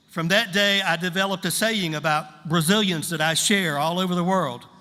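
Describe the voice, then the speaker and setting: A man speaks at a moderate pace with a high pitch for a man. His intonation stays fairly even, and audible room echo surrounds him. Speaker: pastor. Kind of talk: sermon. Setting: church service with interpreter. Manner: short phrases paused for interpreter.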